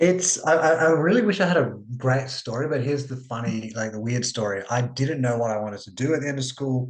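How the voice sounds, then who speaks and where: With hardly any pauses, a man with a strong Australian accent talks at a medium pitch with ordinary pitch variation. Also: fairly quick pace. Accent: broad Australian. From Australia (immigrated from Sri Lanka at age two). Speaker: psychologist. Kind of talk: podcast interview. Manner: casual, with many fillers.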